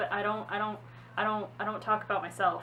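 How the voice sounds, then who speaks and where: A woman speaks very fast at a medium pitch. Noticeable background noise sits behind her. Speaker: vlogger. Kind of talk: personal testimony vlog. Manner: halting, repeating words.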